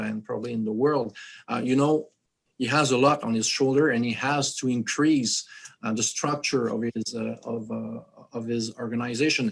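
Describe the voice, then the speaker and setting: With a French accent, a man speaks at medium pitch and a moderate pace, his intonation fairly even. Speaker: activist foundation leader. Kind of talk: roundtable interview. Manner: halting, many fillers.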